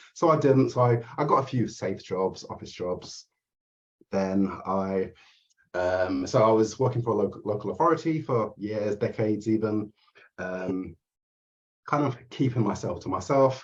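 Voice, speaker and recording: A man with an English accent speaks at a moderate pace, his fairly low pitch showing ordinary variation. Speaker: therapist and mindset coach. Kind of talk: interview. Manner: halting.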